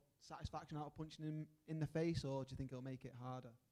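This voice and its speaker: Talking at a very fast pace, a man with a Mancunian accent has a fairly high pitch, a dark, mellow tone and monotone, flat intonation. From Manchester, England. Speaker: journalist. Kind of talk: press conference question.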